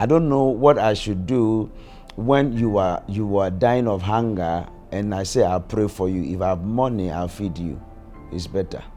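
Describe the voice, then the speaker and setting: Music plays in the background as a man talks at a moderate pace, his fairly low voice showing ordinary pitch variation. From Ghana. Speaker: prophet and church leader. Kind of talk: documentary interview answer.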